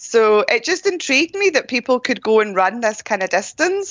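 A woman speaks with a Scottish accent and ordinary pitch variation. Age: 40s. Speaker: ultra runner and running coach. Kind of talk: interview.

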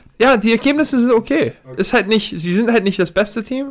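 Lively intonation marks this man's speech. He talks at a moderate pace. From Germany. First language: Serbian (speaking German). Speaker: professional basketball player. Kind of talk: podcast interview.

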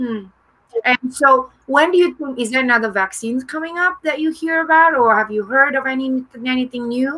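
The voice is raised and projected. It moves at a moderate pace with ordinary pitch variation. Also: woman, high pitch for a woman. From Indonesia. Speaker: talk show host. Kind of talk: casual interview. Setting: livestream. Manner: animated.

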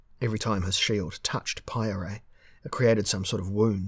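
The speaker is reading aloud in a natural voice, keeping a fairly even intonation.

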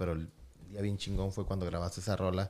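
A man speaks at a very fast pace. His voice is fairly low, with a dark, mellow tone. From Tijuana, Mexico. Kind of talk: casual chat.

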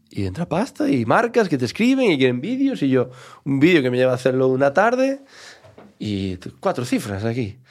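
The man has a medium pitch. His intonation is lively. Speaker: comedian. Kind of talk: casual interview chat.

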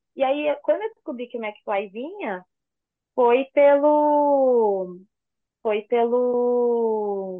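A woman speaks at a very slow pace in a high pitch. Her intonation is lively and her loudness swings a lot. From São Paulo, Brazil. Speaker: fan site runner. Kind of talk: casual chat.

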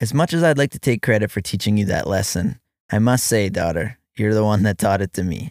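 A normal speaking voice at a fairly quick pace with lively intonation, captured dry and close with no echo on a very clean recording with a silent background. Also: man, fairly low pitch for a man. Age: 30s. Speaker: father writing letters to his child. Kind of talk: reading aloud a personal letter.

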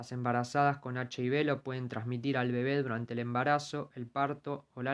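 A man with a Rioplatense accent speaks at a moderate pace in a medium pitch. His intonation stays monotone and flat. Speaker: podcast host, journalist. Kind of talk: scripted narration.

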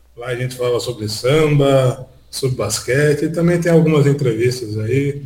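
A man's medium-pitched voice, an ordinary speaking voice, at a fairly slow pace. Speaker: podcaster. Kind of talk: casual chat.

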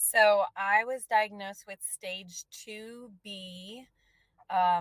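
A woman talks at medium pitch with monotone, flat intonation, her voice sounding dry and close with no echo. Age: 30s. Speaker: breast cancer survivor. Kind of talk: testimony.

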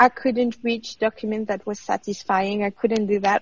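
A somewhat breathy woman's voice at medium pitch. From France. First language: French. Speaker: former PhD student, journalist. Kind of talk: interview.

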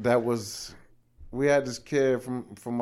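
A man with an American accent, dark and mellow in tone, monotone and flat in intonation, at a fairly slow pace. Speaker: former high school football player. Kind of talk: casual interview. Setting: studio.

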